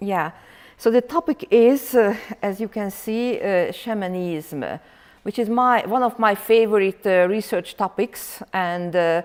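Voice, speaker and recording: On a very clean recording with a silent background, a woman with a Hungarian accent talks at a medium pitch and a fairly slow pace with ordinary pitch variation. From Hungary. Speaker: professor. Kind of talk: lecture. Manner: loud; halting, many fillers.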